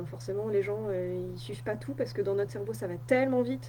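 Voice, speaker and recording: A woman's pitch swings very widely. Audible room echo and noticeable background noise surround her voice. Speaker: wellness coach. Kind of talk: live stream talk. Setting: Facebook live on computer. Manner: many filler hesitations.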